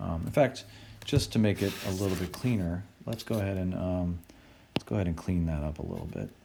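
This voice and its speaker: Speech comes at a fairly quick pace with lively intonation. The tone is dark and mellow. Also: man, very deep, low pitch for a man. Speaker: engineering professor. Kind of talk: tutorial.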